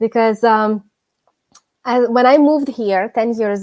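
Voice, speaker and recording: A dark, mellow tone in a Ukrainian accent, at a fairly slow pace. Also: woman. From Ukraine. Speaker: gardening youtuber. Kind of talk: casual chat. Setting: live stream. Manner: halting.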